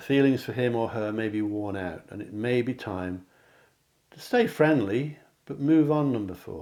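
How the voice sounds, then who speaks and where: A man with an English accent talks at a moderate pace in a medium pitch, his tone dark and mellow, his loudness swinging widely and his pitch varying in an ordinary way. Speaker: psychic card reader. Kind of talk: tarot-style pick a card reading to camera.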